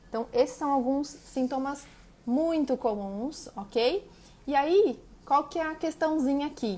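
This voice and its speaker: A woman with a high-pitched voice speaks with ordinary pitch variation. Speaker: nutritionist. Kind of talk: live stream talk.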